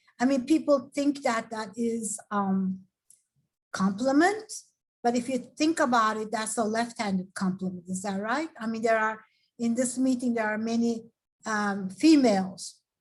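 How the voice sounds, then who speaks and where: Speaking with a Turkish accent, a woman has a fairly high voice. It comes across as somewhat breathy. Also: ordinary pitch variation, moderate pace. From Turkey. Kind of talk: talk at a professional development event. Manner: hesitant, many fillers.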